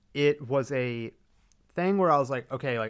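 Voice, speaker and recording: A man with a Texan accent speaks at a moderate pace in a very clean recording with a silent background. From Texas. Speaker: film podcast host. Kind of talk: casual chat.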